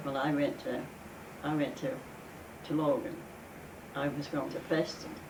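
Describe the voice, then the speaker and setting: Noticeable background noise sits under a woman's speech. She keeps a moderate pace, with long, frequent pauses. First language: Danish. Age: 80s+. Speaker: immigrant. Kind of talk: interview answer.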